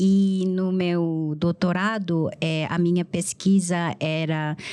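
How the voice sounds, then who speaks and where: In a Korean accent, a woman speaks at a medium pitch with monotone, flat intonation and a dark, mellow tone. The recording is very clean, with a silent background. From South Korea, Gwangju. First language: Korean (speaking Portuguese). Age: 40s. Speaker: literary translator. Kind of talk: interview.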